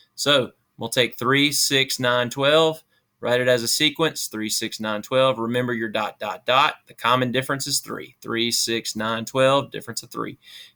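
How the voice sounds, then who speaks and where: This man talks at a moderate pace with fairly even intonation, big swings in loudness and a bright, sharp tone. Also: medium pitch for a man. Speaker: math teacher. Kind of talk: tutorial. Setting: at home on his kid's computer.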